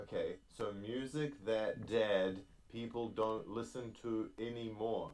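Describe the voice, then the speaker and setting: Speaking at a very slow pace, a man with a New Zealand accent has a medium-pitched voice. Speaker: podcast host. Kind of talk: casual chat. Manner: animated.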